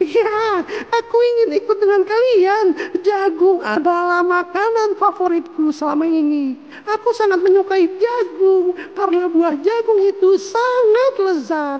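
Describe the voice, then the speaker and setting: A put-on character voice at an extremely high pitch and a fairly slow pace, over light background noise. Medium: read story. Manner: cheerful, eager.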